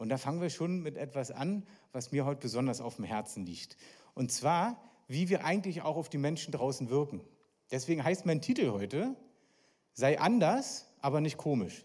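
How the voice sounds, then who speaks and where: An animated man at a moderate pace, fairly high in pitch, on a very clean recording with a silent background. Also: lively intonation. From East Berlin, Germany. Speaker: evangelist, guest preacher. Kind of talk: sermon.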